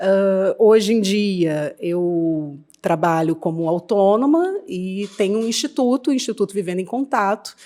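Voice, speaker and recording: The tone is dark and mellow, with lively intonation. The pace is fairly slow, with hardly any pauses. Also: woman, medium pitch for a woman. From Rio de Janeiro, Brazil. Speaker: psychologist. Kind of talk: podcast interview.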